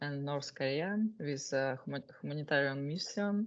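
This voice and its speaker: Speaking very slowly with a Russian accent, a woman uses a very deep, low pitch and ordinary pitch variation against a quiet background. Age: 20s. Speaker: war correspondent. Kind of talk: self-introduction at a meeting. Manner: halting, many fillers.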